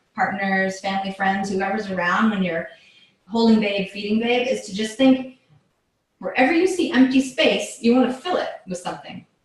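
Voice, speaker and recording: A woman's fairly high voice with lively intonation, set in audible room echo. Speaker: yoga and movement teacher. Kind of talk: live instructional workshop. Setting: live video session. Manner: casual, filler-heavy.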